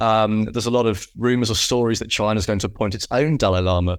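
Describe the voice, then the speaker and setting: A man's fairly low voice with a British accent. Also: very clean recording, silent background. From UK. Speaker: podcast host. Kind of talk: casual chat; scripted narration.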